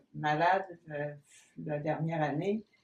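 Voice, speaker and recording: Intonation stays fairly even as a woman speaks. Her pace is very slow. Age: 80s+. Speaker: painter. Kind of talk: interview. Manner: hesitant.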